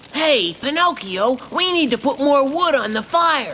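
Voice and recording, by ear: This cartoonish character voice sits high in pitch and moves at a moderate pace. Background noise is clearly audible.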